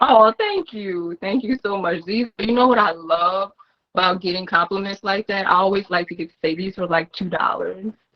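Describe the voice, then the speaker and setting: A woman with a slight New Orleans accent speaks at a moderate pace in a medium pitch, her intonation fairly even. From New Orleans, US South. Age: 30s. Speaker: content creator. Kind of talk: interview.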